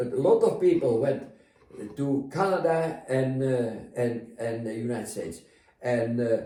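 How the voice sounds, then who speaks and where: Noticeable background noise behind a man with a Dutch accent, medium pitch, ordinary pitch variation, and a fairly slow pace. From Netherlands. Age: 80s+. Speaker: retired navy captain. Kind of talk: interview answer.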